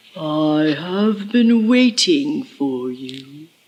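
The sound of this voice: A man puts on a character voice. It is high in pitch for a man, with very wide pitch swings.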